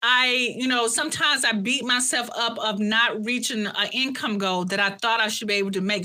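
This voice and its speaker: This woman has a strong Southern US accent and a fairly high pitch. She talks at a fairly quick pace in an animated tone with ordinary pitch variation. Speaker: coach, former college professor. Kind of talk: interview conversation. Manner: halting.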